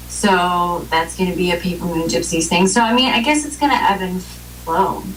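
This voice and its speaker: A woman at a medium pitch and fairly slow pace, amid noticeable background noise and audible room echo. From Romania, raised in US from age three. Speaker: blues rock singer. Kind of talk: interview.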